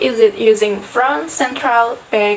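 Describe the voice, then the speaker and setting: Over noticeable background noise, a woman speaks at a fairly slow pace in a fairly high pitch with ordinary pitch variation. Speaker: university student. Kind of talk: class presentation.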